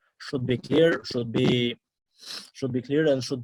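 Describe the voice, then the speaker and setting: A man with an Albanian accent, medium pitch. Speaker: international student. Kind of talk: interview. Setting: video call. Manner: halting.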